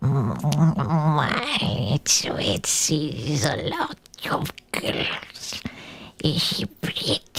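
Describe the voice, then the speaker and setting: A put-on character voice whispers. The pace is very slow. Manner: creepy, leering.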